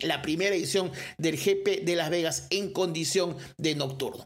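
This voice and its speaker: This man talks in a high pitch with an animated tone. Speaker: sports podcast host. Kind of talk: solo sports commentary podcast.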